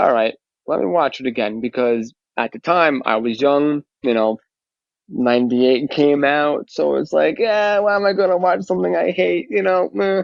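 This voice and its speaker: Here a man with a strong New York accent speaks at a moderate pace. His fairly high pitch swings very widely. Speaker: fan community member. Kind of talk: casual interview chat.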